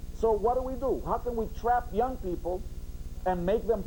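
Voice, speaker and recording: Fairly quick and animated, a man with a high pitch talks with ordinary pitch variation. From Puerto Rico, mountain coffee region. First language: Spanish. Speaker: sociology professor. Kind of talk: interview on educational TV, storytelling. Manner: forceful.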